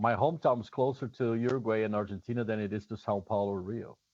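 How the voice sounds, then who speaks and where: Over a quiet background, a man with a Brazilian accent talks at a fairly quick pace, medium in pitch with fairly even intonation. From southern Brazil. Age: 50s. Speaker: drummer and drum teacher. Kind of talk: casual chat.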